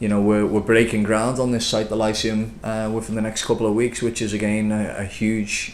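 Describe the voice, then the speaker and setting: A man with a Liverpool accent talks at a fairly quick pace in a monotone, flat delivery. Room echo can be heard. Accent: Liverpool (Scouse). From Liverpool, England. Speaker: property developer. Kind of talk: business interview. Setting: office. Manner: hesitant, many fillers.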